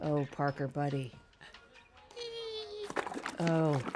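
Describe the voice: Faint music plays in the background. The speech is very slow, with little pitch movement and a slightly mellow tone. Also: woman, low pitch for a woman.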